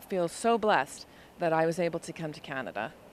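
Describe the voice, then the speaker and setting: A woman speaks in a plain, everyday voice with an American accent. Her pitch is fairly low, with ordinary pitch variation. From US. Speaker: nurse. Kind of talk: street interview.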